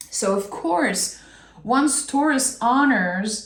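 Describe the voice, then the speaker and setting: Somewhat breathy, a woman's voice carries audible room echo. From France. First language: French. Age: 30s. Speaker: tarot reader. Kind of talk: tarot reading; casual chat.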